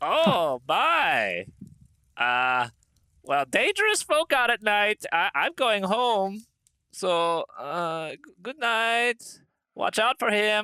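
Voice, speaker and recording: Using a put-on character voice pitched high, a man talks at a very slow pace with long, frequent pauses. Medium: actual play. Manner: folksy, hesitant.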